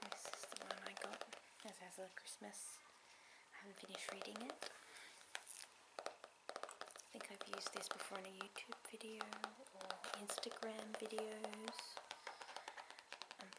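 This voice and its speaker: Whispering comes at a fairly slow pace with long, frequent pauses. Noticeable background noise sits behind it. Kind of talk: ASMR tapping video, casual talk to camera. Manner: soft-spoken, whispered.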